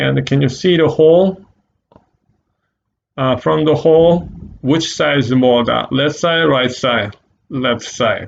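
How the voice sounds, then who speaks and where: A man with a Korean accent speaks very slowly at a medium pitch, with lively intonation, very even loudness and long, frequent pauses. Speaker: art teacher. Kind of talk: tutorial. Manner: halting.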